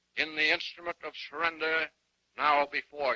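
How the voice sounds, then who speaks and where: A man's fairly high voice sounds bright and sharp, with a solemn tone. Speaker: army general, supreme military commander. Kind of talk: formal ceremonial speech. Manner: slow, solemn.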